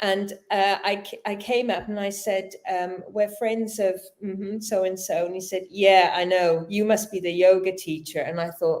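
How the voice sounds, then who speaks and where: Hardly pausing, a woman with a British accent speaks at medium pitch and a moderate pace in a monotone, flat intonation. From Britain. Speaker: yoga teacher, interview guest. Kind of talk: casual chat. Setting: live-streamed online show.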